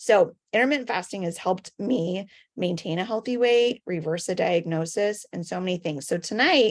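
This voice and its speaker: A woman with a plain, everyday voice speaks at medium pitch and a moderate pace, her intonation lively, on a very clean recording with a silent background. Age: 40s. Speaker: wellness product promoter. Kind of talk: sales pitch.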